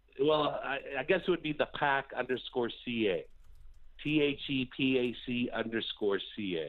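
A man speaks in an ordinary speaking voice. His pace is fairly slow, with ordinary pitch variation. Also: medium pitch for a man. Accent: Canadian. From Canada. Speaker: caller, former stockbroker. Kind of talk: casual chat. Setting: phone call.

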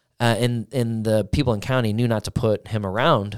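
A man with an American accent speaks in an ordinary speaking voice, fairly low in pitch. Pitch variation is ordinary, and the recording is very clean with a silent background. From US Midwest (Granite City, Illinois / St. Louis area). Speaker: recovery director and musician, former prisoner. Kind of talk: casual chat.

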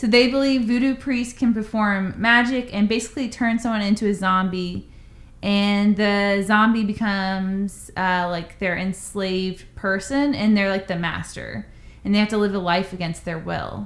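In a plain, everyday voice, a woman speaks at a moderate pace with medium pitch and fairly even intonation. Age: 30s. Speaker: podcast co-host. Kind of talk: casual chat, storytelling.

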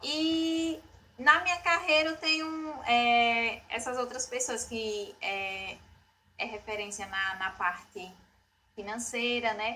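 Lively intonation at a very slow pace. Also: woman, high pitch for a woman. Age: 20s. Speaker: real estate office strategy manager. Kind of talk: podcast interview.

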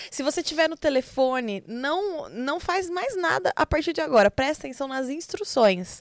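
A woman with a high pitch talks at a moderate pace, hardly pausing, with very wide pitch swings. The sound is dry and close, with no echo. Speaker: podcast co-host. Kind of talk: casual chat.

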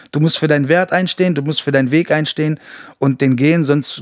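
Here a man speaks in a normal speaking voice. His pitch is fairly high and his pace fairly quick. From Berlin, then Düren (Rhineland). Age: 40s. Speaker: rapper. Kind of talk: casual chat.

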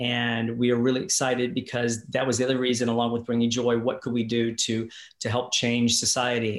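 A man speaks in an ordinary speaking voice at a medium pitch, with fairly even intonation and a fairly quick pace. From Kentucky/Indiana, US. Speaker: musician, singer and performer. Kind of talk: casual interview chat.

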